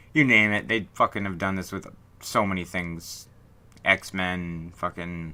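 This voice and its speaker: In a very clean recording with a silent background, a man speaks with a bright, sharp tone. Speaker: horror podcast host. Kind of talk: casual film review talk. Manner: casual, ranting, profane.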